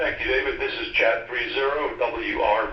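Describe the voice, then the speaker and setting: Noticeable background noise and audible room echo surround speech delivered fairly slowly. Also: man. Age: 60s. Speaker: radio net participant. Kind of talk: radio net check-in. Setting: GMRS radio.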